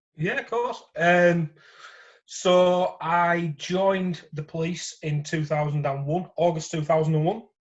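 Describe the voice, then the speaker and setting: This man has a Yorkshire accent and a high-pitched voice. He talks at a fairly slow pace with fairly even intonation against a quiet background. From Yorkshire, northern England. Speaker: former police officer, gambling support worker. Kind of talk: interview testimony. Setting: phone call. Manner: hesitant with fillers.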